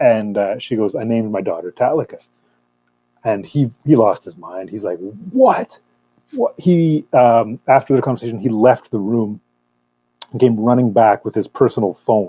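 In a Canadian accent, a man speaks at a moderate pace and a medium pitch, with a plain, everyday voice. His pitch variation is ordinary, and the sound is dry and close with no echo. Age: 30s. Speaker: metal fan club member. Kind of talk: casual chat. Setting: video call.

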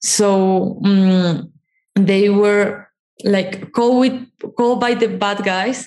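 A woman's very slow speech in a Spanish accent. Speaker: documentary producer, former psychologist. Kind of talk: interview conversation.

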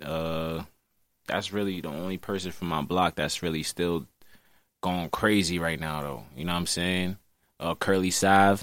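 A man with an American accent and a very deep, low pitch, with fairly even intonation at a moderate pace, on a very clean recording with a silent background. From Brooklyn, New York City. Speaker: drill rapper. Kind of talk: casual interview. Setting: studio, in person.

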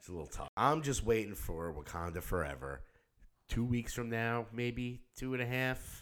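On a very clean recording with a silent background, a man in an unremarkable speaking voice talks at a moderate pace and medium pitch with lively intonation. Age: 50s. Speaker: podcast co-host and musician. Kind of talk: casual chat. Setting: studio.

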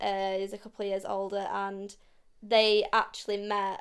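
Over a silent background in a very clean recording, a woman with a Yorkshire accent speaks at a medium pitch in a monotone, flat intonation. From South Yorkshire, Barnsley. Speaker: podcast co-host. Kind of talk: casual chat.

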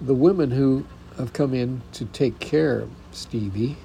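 Dark and mellow in tone, a man's somewhat breathy voice moves at a fairly slow pace, with a medium pitch and ordinary pitch variation. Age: 70s. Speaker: podcaster and spousal caregiver. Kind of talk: personal monologue. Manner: halting.

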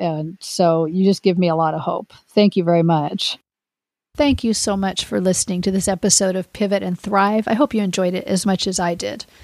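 This is an unremarkable speaking voice with ordinary pitch variation at a moderate pace. The recording is very clean, with a silent background. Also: woman, medium pitch for a woman, dry, close sound with no echo. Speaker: podcast host and retirement coach. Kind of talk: interview, conversational.

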